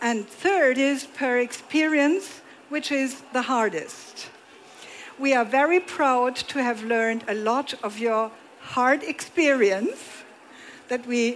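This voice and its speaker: Someone speaks at a very slow pace with a German accent. Noticeable background noise runs underneath. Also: woman, high pitch for a woman, ordinary pitch variation. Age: 60s. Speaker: moderator. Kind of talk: stage interview. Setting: stage with audience.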